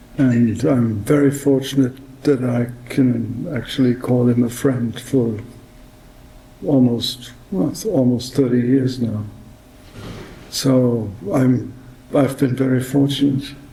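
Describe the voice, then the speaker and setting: Speaking at a very slow pace with long, frequent pauses, a man keeps a medium pitch and fairly even intonation, while the room echo is audible and background noise is noticeable. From Germany, Lower Saxony. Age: 60s. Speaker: neurosurgeon. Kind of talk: acceptance speech. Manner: halting.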